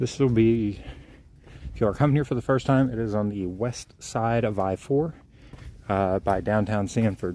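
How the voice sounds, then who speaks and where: A quiet, dark, mellow male voice at a moderate pace, with ordinary pitch variation and long, frequent pauses. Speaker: outdoor vlogger, wildlife photographer. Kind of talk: live-stream walking commentary. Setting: outdoors on a trail. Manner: quiet, kept low; casual, filler-heavy.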